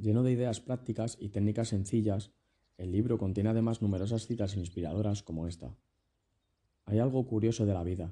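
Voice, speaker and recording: A dark, mellow, somewhat breathy voice at a fairly quick pace with fairly even intonation. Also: man, fairly low pitch for a man. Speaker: podcaster reading a self-help book aloud. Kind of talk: reading aloud. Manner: non-native English pronunciation.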